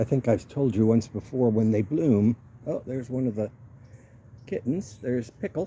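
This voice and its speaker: A somewhat breathy, relaxed voice with a dark, mellow tone, moderate pace and ordinary pitch variation. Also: man. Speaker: home gardener. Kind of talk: casual talk to camera, garden walk-through. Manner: relaxed, conversational.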